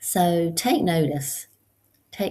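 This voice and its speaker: This woman's somewhat breathy voice sits very deep and low, with a dark, mellow tone. The recording is very clean, with a silent background. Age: 60s. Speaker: support group host. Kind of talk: casual monologue. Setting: at home on computer. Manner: hesitant, many fillers.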